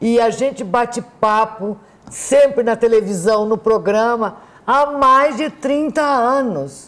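The woman talks very slowly. Her voice sits fairly high, and its pitch varies in an ordinary way. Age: 70s. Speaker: TV health show host. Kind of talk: TV interview. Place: studio.

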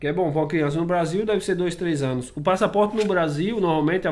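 It is a normal speaking voice: a man at a fairly high pitch with ordinary pitch variation. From Brazil. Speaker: vlogger. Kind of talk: casual vlog talk to camera. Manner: casual, conversational. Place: home room. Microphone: webcam.

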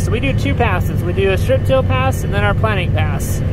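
Over music in the background, a man talks at a fairly quick pace, the sound dry with no echo. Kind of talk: casual vlog chat. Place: farm machine. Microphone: phone near.

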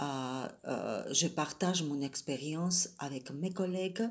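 At a very slow pace, a woman speaks in a fairly low pitch, sounding somewhat breathy. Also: quiet background. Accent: Georgian. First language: Georgian (speaking French). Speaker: French teacher. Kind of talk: prepared self-presentation. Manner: hesitant, many fillers. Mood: calm, earnest. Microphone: phone near.

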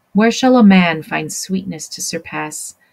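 Very slowly, a woman speaks in a fairly low pitch over light background noise. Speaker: teacher. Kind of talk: lecture. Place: home room. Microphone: webcam.

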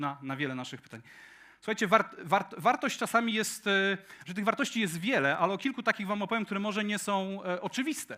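A man with a high pitch and a bright, sharp tone speaks at a very fast pace in a raised, projected voice, his pitch swinging very widely. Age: 40s. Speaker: tech conference speaker. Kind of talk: conference talk. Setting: stage with audience.

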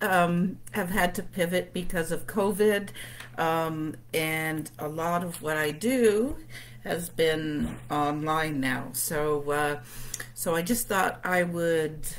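Delivered at a very slow pace with ordinary pitch variation, the speech comes over light background noise. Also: woman, very deep, low pitch for a woman. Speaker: tarot reader. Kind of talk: casual livestream talk. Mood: cheerful, relaxed. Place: home room. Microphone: webcam.

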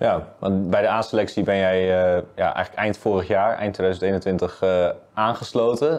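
A man speaks in a normal speaking voice, fairly low in pitch. His pace is fairly slow and his intonation fairly even. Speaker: club media interviewer. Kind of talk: interview. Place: studio.

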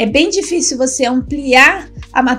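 Over faint music in the background, a woman talks in a high voice with ordinary pitch variation. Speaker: writing teacher. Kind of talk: lecture. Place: home room.

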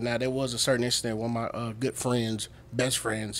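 A man speaks with a Southern US accent. His pace is very fast. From US South. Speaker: comedian and military veteran. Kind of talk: casual chat. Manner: animated. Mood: animated, amused storytelling. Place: studio. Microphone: studio mic.

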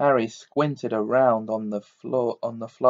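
An unforced reading voice carries the whole clip.

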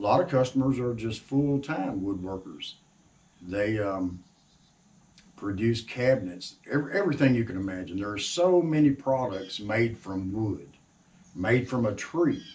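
A somewhat breathy voice at a moderate pace, with big swings in loudness. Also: man. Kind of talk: casual talk to camera. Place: workshop. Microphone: camera far.

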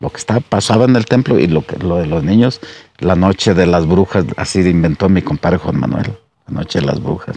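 A man with a very deep, low voice and ordinary pitch variation speaks at a fairly quick pace in a dry sound with no echo. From Jalisco, Mexico (Capilla de Guadalupe); Jalisco, Mexico. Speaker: former local official and musician; storyteller. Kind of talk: storytelling. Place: garden. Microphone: lapel.

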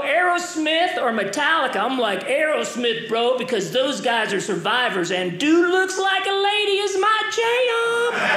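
Raised and projected, a man's extremely high voice moves at a fairly slow pace with hardly any pauses, carrying audible room echo. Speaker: stand-up comedian. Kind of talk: stand-up comedy routine. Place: stage. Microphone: handheld.

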